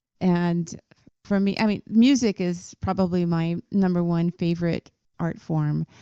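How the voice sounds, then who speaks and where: A woman with an American accent speaks at a fairly slow pace. Her intonation is fairly even, and the sound is dry and close with no echo. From US West Coast, Southern California. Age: 60s. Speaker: author, songwriter and performer. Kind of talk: podcast interview. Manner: hesitant, many fillers.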